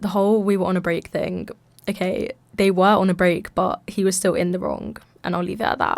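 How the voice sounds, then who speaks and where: Her intonation monotone and flat, a woman talks with a London accent. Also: medium pitch for a woman, fairly quick pace. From London, England. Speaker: podcast host, university student. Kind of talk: casual chat. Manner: chatty, filler-heavy.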